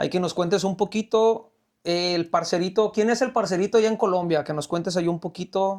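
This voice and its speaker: Speaking in a Mexican accent, a man keeps a moderate pace and a fairly even intonation at a high pitch. The recording is very clean with a silent background. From Mexico. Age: 30s. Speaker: podcast host. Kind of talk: casual chat.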